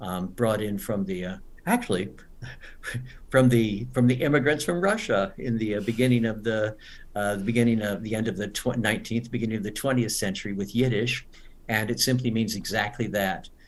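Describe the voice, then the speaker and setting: Speech at a fairly quick pace, ordinary in pitch variation, amid audible room echo. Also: man, medium pitch for a man. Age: 70s. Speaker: English teacher. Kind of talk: webinar lecture. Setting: online webinar.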